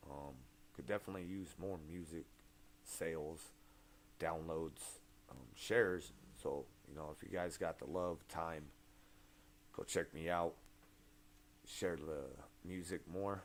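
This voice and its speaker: A man with a very deep, low pitch and vocal fry speaks fairly slowly with ordinary pitch variation, long, frequent pauses and big swings in loudness. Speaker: rapper. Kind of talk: casual livestream chat. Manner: halting.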